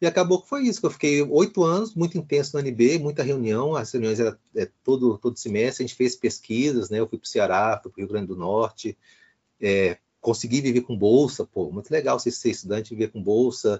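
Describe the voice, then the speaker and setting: An ordinary speaking voice moves at a fairly quick pace with lively intonation. The loudness swings widely. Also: man, medium pitch for a man. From Brasília, Brazil. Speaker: historian and professor. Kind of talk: interview.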